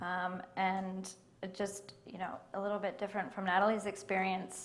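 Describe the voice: The pace is moderate. Room echo is audible. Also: woman.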